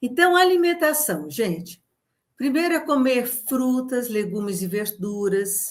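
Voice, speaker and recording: A somewhat breathy woman at a very slow pace, with very wide pitch swings. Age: 70s. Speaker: nutritionist and women's health educator. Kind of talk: educational talk. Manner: conversational, addresses audience directly.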